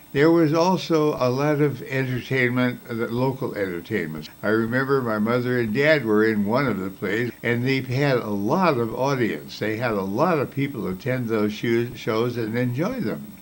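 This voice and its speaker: Amid audible room echo, a man with a medium pitch and ordinary pitch variation talks with hardly any pauses. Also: moderate pace. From US Midwest, northern Illinois near Chicago. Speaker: retired advertising executive and author. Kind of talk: personal reminiscence.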